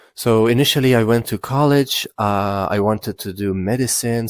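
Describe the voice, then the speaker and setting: In a Persian accent, a man speaks at a fairly slow pace with ordinary pitch variation and a dry, close sound with no echo. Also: very clean recording, silent background. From Iran. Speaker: content creator. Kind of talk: personal life story monologue. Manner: halting, many fillers.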